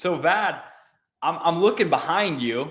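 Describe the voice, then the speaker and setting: A man talks at a moderate pace. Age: 20s. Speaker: real estate wholesaler and coach. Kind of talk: interview. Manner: animated.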